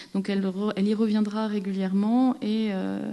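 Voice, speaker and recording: The delivery is monotone and flat, moving at a moderate pace. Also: woman. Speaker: film archivist or scholar. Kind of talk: conference talk. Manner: halting, many fillers and repeats.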